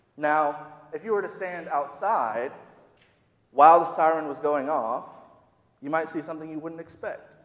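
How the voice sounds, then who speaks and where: A man with an American accent and a fairly high pitch speaks at a moderate pace with ordinary pitch variation, big swings in loudness and long, frequent pauses, with audible room echo. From US Midwest, Minnesota. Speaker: youth director preaching. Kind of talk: sermon. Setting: church.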